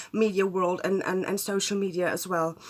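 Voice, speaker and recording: At a moderate pace, a woman speaks with a German accent. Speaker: astrologer. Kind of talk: casual talk to camera. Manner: hesitant, many fillers.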